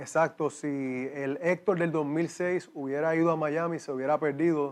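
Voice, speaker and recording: A man with a slight Cuban accent speaks in a fairly high pitch with monotone, flat intonation. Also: moderate pace. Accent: slight Cuban tinge. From Puerto Rico. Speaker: exercise physiologist. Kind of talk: interview testimony.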